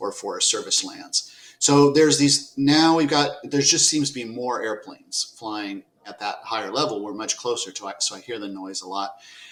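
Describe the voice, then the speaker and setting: The speech moves at a moderate pace with lively intonation and big swings in loudness, set against noticeable background noise. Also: man, fairly high pitch for a man. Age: 60s. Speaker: podcast host. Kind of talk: interview. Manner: halting.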